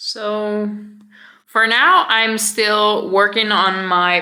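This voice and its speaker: A woman's bright, sharp voice at a fairly high pitch, with ordinary pitch variation and audible room echo. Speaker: vlogger. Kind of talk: casual vlog talk.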